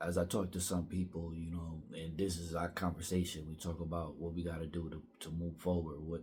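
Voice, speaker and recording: A man speaks quietly at a moderate pace in a very deep, low, monotone voice. Music plays in the background, and the room echo is audible. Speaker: vlogger. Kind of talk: personal vlog monologue. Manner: halting.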